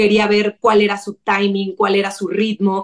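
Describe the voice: Raspy and flat in intonation, a woman speaks at a medium pitch and a moderate pace, almost monotone.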